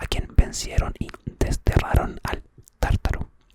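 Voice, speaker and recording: A man whispers fairly slowly while noticeable background noise carries on. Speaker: ASMR creator. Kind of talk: ASMR myth storytelling for sleep. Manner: soft-spoken, whispered.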